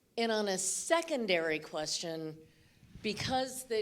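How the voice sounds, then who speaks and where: A woman at medium pitch, very slow pace and very wide pitch swings, with audible room echo. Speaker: audience member asking question. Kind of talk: audience question. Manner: halting.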